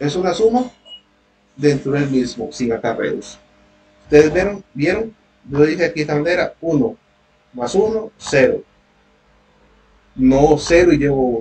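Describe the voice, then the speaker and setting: Speaking at a fairly slow pace, a man with a fairly high pitch and a somewhat breathy voice uses lively intonation and takes long, frequent pauses. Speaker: university tutor. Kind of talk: online lecture.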